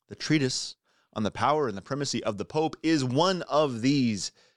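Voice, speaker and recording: Using a normal speaking voice, a man talks at a moderate pace with lively intonation in a very clean recording with a silent background. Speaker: Lutheran pastor and radio host. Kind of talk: radio talk show with listener mail. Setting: radio studio.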